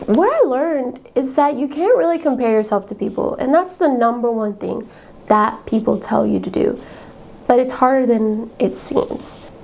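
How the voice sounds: Lively intonation and vocal fry in a slightly mellow tone, at a moderate pace. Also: woman, fairly high pitch for a woman.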